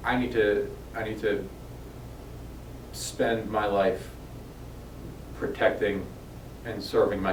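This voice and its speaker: A man talks at a fairly slow pace, leaving long, frequent pauses. Room echo is audible. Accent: American. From New York. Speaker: police officer. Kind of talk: informational video address to residents. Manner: casual, with frequent fillers.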